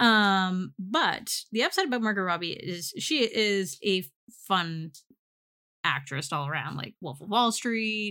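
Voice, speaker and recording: On a very clean recording with a silent background, a woman with an unremarkable speaking voice talks at a fairly slow pace and medium pitch, her intonation lively. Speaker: podcast co-host. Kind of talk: casual chat.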